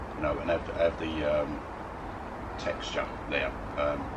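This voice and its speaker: Loud background noise runs through the clip. A man talks at a fairly slow pace. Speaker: food reviewer. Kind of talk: casual vlog chat. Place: garden.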